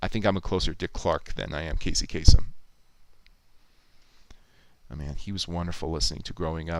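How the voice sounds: A man speaks at a fairly quick pace. His tone is clear and smooth, with fairly even intonation.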